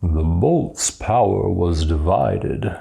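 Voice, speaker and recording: A man uses a put-on character voice with a very deep, low pitch. He speaks at a very slow pace. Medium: read story. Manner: booming, commanding.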